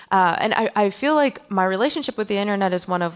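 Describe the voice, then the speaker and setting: A woman's medium-pitched voice, an ordinary speaking voice, with lively intonation at a fairly quick pace, on a very clean recording with a silent background. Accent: American. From Pennsylvania, small town. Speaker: artist and software developer. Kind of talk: conference talk. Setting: stage with audience.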